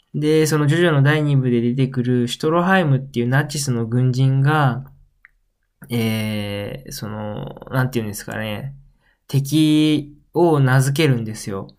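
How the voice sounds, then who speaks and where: Amid audible room echo, a man talks at a fairly slow pace with a medium pitch. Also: ordinary pitch variation. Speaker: podcast host. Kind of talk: solo casual talk. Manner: animated.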